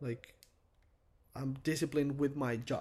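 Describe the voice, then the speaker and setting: Fairly high-pitched man with a Spanish accent, moderate pace, fairly even intonation, on a very clean recording with a silent background. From Venezuela. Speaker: tattoo artist. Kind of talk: casual chat.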